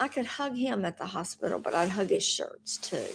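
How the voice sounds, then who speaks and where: A woman speaks with a fairly high pitch and a dark, mellow tone. Her pitch swings very widely. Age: old. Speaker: widow sharing faith journey. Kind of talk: casual talk to camera.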